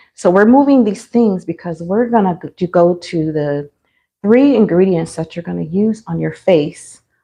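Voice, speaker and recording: The woman's tone is dark and mellow. She talks fairly slowly. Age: 50s. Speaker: beauty livestreamer. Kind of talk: casual livestream tutorial. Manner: hesitant, many fillers.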